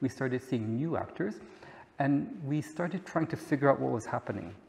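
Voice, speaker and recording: Somewhat breathy male voice with lively intonation at a moderate pace. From Belgium. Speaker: head of an advocacy organization. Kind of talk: conference talk. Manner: halting.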